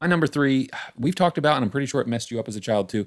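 A man talks with an American accent on a very clean recording, the background silent. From West Virginia. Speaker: podcast host. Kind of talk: casual chat.

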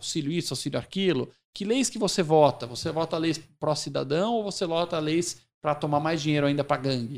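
Over a silent background in a very clean recording, a man speaks quickly in a plain, everyday voice, fairly high in pitch with ordinary pitch variation. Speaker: company CEO. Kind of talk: interview.

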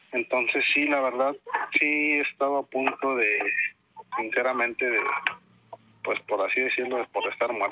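Very even loudness, long and frequent pauses, a moderate pace, and a northern Mexican accent. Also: man. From Tamaulipas, northern Mexico. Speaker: caller sharing paranormal experiences. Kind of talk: testimony. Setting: phone call. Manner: halting.

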